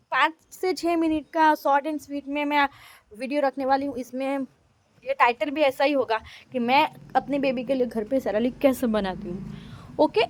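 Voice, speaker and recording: Dry and close with no echo, a woman with a Gujarati accent speaks at a high pitch with ordinary pitch variation. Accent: Gujarati-accented Hindi. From India, Gujarat. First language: Gujarati (speaking Hindi). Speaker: mom vlogger. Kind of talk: vlog. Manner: casual, chatty.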